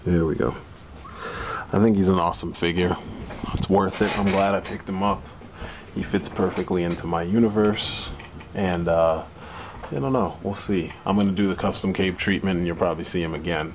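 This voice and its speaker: A soft-spoken man talks at a fairly quick pace with a very deep, low pitch and fairly even intonation. He leaves long, frequent pauses over noticeable background noise. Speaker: action figure reviewer. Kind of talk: product review. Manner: soft-spoken, speaking low.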